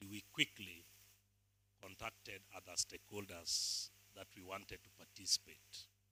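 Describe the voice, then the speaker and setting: Fairly slow delivery from a man with a fairly low pitch and a bright, sharp tone. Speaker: NGO chief executive. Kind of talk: formal speech. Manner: formal.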